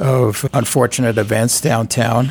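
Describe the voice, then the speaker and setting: A man is speaking. He has a New York accent. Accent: New York accent, still noticeable. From New York City. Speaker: civic group chair. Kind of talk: radio interview. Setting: studio.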